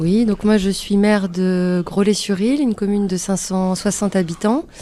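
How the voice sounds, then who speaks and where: A woman talks at a moderate pace in a medium pitch with a dark, mellow tone. Her loudness stays very even and her intonation fairly even. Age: 30s. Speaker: mayor and candidate. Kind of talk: political interview.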